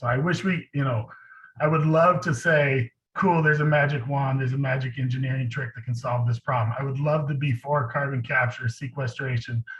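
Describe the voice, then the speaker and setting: At a fairly quick pace, a man talks with a medium pitch and fairly even intonation. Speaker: community organizer, panelist. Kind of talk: panel presentation. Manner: fast.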